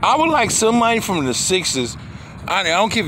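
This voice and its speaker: A man projects a raised voice with very wide pitch swings. Room echo and noticeable background noise are both audible. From Philadelphia, US. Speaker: sports vlogger. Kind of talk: casual monologue. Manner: halting.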